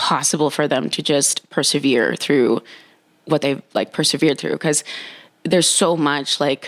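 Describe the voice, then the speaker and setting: Fairly slow and with fairly even intonation, this voice has an American accent and a dry, close sound with no echo. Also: woman. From Nicaragua, moved to US at six. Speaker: dating and relationship coach. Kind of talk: casual interview chat.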